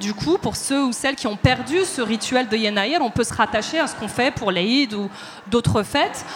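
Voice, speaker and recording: A woman's fairly high voice at a fairly slow pace, with ordinary pitch variation over noticeable background noise. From Paris, of eastern Moroccan family. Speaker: dancer and choreographer. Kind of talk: panel discussion before live audience. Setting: stage with audience.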